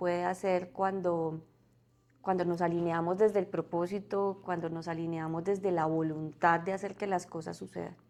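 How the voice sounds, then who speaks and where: A woman at a fairly slow pace, medium pitch and fairly even intonation. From Colombia, Santander. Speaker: corporate community relations director. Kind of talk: podcast interview. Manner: hesitant, with fillers and repetitions.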